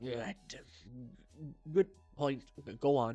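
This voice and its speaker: With music in the background, a man performs a put-on character voice. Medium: game stream. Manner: stammering.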